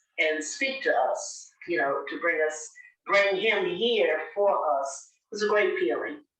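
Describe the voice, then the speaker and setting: A woman speaks at a fairly slow pace amid audible room echo. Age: 80s+. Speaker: local elder sharing recorded memories. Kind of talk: oral history interview. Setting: recorded interview. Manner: halting, many fillers.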